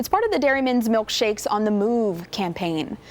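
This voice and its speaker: A plain, everyday voice from a woman, fairly high in pitch and at a fairly quick pace. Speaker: TV news anchor and reporter. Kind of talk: TV news anchor read from the studio desk.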